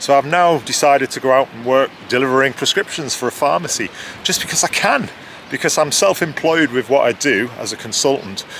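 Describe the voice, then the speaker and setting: Noticeable background noise sits behind the voice. A man speaks at a fairly quick pace with a fairly high pitch. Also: ordinary pitch variation. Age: 50s. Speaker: author and freelance marketer. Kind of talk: casual interview.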